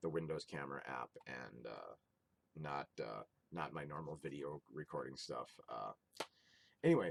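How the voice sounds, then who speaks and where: A man mumbles at a moderate pace with vocal fry. The sound is dry and close, with no echo. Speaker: video game collector YouTuber. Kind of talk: casual vlog haul. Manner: mumbling; halting with fillers. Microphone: built-in Windows camera app recording.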